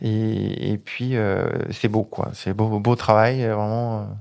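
A male speaker, a very clean recording, and a silent background. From Isère, French Alps. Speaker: children's author and agricultural technician. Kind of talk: interview. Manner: halting.

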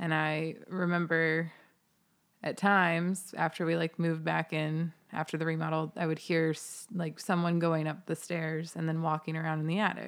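A woman talks with an American accent at a moderate pace, her pitch fairly low. Her intonation is monotone and flat, and the recording is very clean with a silent background. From US Midwest, Ohio. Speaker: podcast guest. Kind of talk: casual chat.

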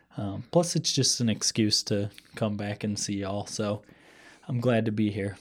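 A man's fairly low voice, an ordinary speaking voice with ordinary pitch variation at a moderate pace, in a very clean recording with a silent background. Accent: American. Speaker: podcast host. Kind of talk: casual chat.

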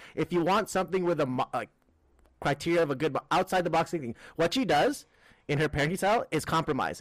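A man with a Filipino accent speaks at a very fast pace with ordinary pitch variation. The recording is very clean with a silent background and a dry, close sound with no echo. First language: Tagalog. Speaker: comedian and podcast co-host. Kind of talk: casual chat.

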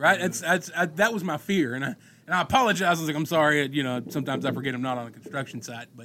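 Very fast speech with lively intonation and big swings in loudness carries over noticeable background noise. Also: man, fairly high pitch for a man. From Monticello. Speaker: electrician, podcast co-host. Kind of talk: casual chat.

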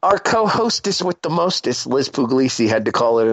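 Here is a plain, everyday voice, moving at a fairly quick pace with lively intonation. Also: man. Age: 30s. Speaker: podcast host. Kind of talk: casual chat.

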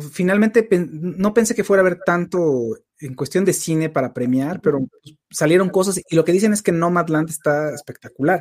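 A man speaks with a high pitch and ordinary pitch variation. His pace is fairly quick. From Mexico City. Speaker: live-stream host, film and TV commentator. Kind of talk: casual chat. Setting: live stream.

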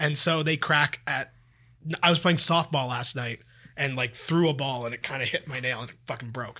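A man with a Canadian accent speaks at a moderate pace in an ordinary speaking voice, his pitch fairly high and its variation ordinary. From Toronto, Canada. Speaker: sports podcast co-host. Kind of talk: casual chat.

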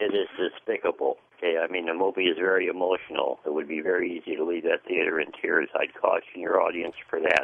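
A man with an American accent talks at a very fast pace with hardly any pauses. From US Midwest, Detroit. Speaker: caller. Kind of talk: call-in. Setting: phone call. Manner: halting.

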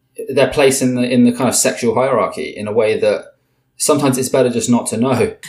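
A man with a British accent speaks at a moderate pace with ordinary pitch variation. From Britain. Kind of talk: interview conversation. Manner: halting, many repetitions and fillers.

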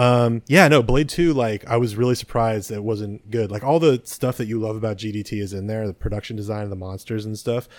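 Talking fairly quickly, a man speaks at a medium pitch. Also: ordinary pitch variation. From US West Coast (San Mateo, California). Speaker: podcast co-host. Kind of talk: casual chat. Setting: video call.

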